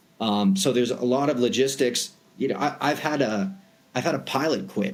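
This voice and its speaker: There's lively intonation from this man with an American accent. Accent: Boston accent, sometimes comes out. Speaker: private aviation broker. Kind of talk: podcast interview. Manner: casual, many fillers.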